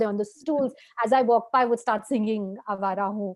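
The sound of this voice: Fast speech from a woman at medium pitch, slightly mellow in tone, with fairly even intonation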